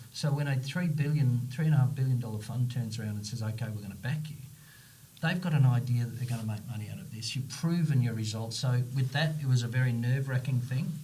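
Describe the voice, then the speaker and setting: Somewhat breathy, a man with a medium pitch and ordinary pitch variation speaks very fast amid audible room echo. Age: 60s. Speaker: company CEO and founder. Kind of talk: podcast interview. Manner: animated.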